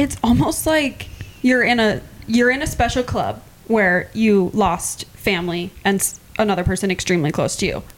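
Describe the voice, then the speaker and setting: With an American accent, a woman speaks at a moderate pace in a medium pitch, her lively intonation over very even loudness, a plain, everyday voice. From Iowa. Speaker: podcast co-host. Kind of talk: casual chat.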